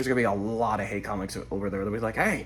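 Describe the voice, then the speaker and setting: A man speaks at a very fast pace with vocal fry. Audible room echo surrounds his voice. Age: 20s. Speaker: vlogger and car wash worker. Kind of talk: casual vlog monologue.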